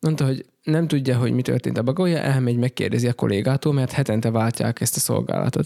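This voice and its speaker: On a very clean recording with a silent background, a man talks at a very fast pace. His medium-pitched voice is dark and mellow, with ordinary pitch variation. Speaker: pastor. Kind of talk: casual chat.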